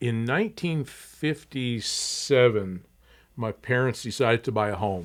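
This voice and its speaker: The speaker has an American accent and ordinary pitch variation. The pace is fairly slow. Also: man, medium pitch for a man. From Tucson, Arizona. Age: 60s. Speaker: museum executive director. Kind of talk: podcast interview.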